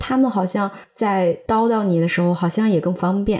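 Against noticeable background noise, a woman speaks at a medium pitch and a moderate pace. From Xi'an suburbs, China. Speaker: podcast co-host. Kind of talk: casual chat.

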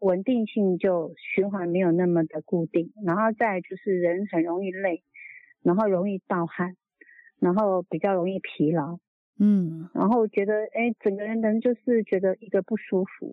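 This woman has a normal speaking voice at a medium pitch. She goes at a fairly slow pace with fairly even intonation. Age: 60s. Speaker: product user testimonial caller. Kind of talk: testimony. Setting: phone call.

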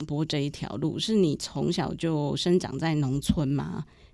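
The tone of this woman's voice is dark and mellow. She keeps a moderate pace. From rural Taiwan. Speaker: podcast host, journalist. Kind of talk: interview.

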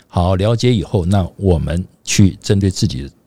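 A man speaks at a moderate pace with a very deep, low pitch. His tone is dark and mellow, with vocal fry. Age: 60s. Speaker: podcast co-host. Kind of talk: casual chat.

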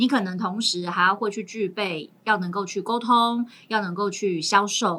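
A woman talks at a moderate pace at a medium pitch. Hers is an ordinary speaking voice, with ordinary pitch variation. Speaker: teacher, guest co-host. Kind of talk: casual chat.

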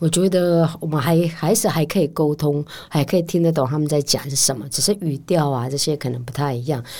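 Her voice is very deep and low for a woman, with a dark, mellow tone, ordinary pitch variation and a fairly quick pace. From Pingtung, Taiwan (Wutai Rukai village). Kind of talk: interview conversation.

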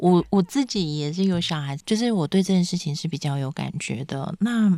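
On a very clean recording with a silent background and a dry, close sound with no echo, a woman speaks fairly slowly at a fairly low pitch, with lively intonation and a dark, mellow tone. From Penghu, Taiwan. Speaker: author and writing teacher. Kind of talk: casual interview chat.

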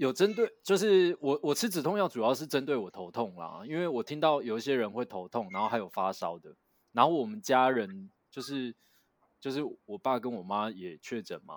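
At a moderate pace, a man speaks at medium pitch with very wide pitch swings and big swings in loudness. The sound is dry and close, with no echo. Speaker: podcast co-host. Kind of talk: casual chat. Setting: online remote recording.

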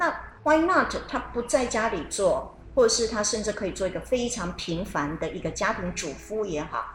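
Amid noticeable background noise and audible room echo, a woman with a fairly high pitch speaks at a moderate pace with very wide pitch swings. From Taiwan. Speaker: radio co-host. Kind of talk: radio talk show chat.

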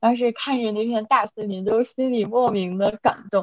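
A woman with a slight Northeast Chinese accent speaks at a fairly slow pace with fairly even intonation, the sound dry and close with no echo. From Inner Mongolia, Chifeng (near Northeast China). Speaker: podcast co-host, graduate student. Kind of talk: casual chat.

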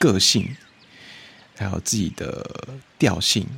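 A man with a Taiwanese accent and vocal fry, talking at a fairly slow pace. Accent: Taiwanese Mandarin. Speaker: podcast host. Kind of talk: casual solo chat.

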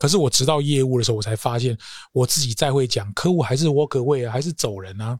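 Over a very clean recording with a silent background, a man speaks very fast in a medium pitch, somewhat breathy, with ordinary pitch variation and a dry, close sound with no echo. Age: 50s. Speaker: corporate trainer. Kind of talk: interview.

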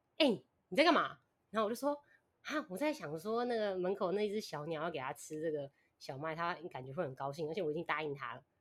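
With very wide pitch swings and big swings in loudness, a woman speaks at a fairly quick pace. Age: 20s. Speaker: podcast listener guest. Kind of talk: casual chat.

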